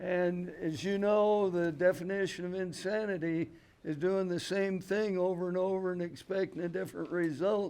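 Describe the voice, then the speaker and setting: With an American accent, a man speaks at a high pitch in a dark, mellow tone. His pace is moderate and his intonation fairly even. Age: 80s. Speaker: pumpkin grower. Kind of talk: seminar talk. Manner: halting.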